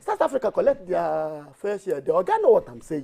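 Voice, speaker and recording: An animated man with a Nigerian accent at a fairly quick pace. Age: 60s. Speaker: tax reform campaigner. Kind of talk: TV panel discussion. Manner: halting.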